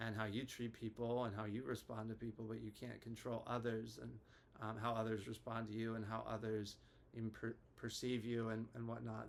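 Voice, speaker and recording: Over noticeable background noise, a man speaks at medium pitch and a moderate pace. His intonation is monotone and flat. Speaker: therapist. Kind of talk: casual educational talk to camera. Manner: hesitant, many filler words.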